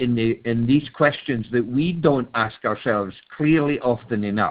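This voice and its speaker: With a Scottish accent, a man speaks at a moderate pace, with a medium pitch and ordinary pitch variation. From Scotland. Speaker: webinar participant. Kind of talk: call-in comment in group discussion. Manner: halting, many repeated words.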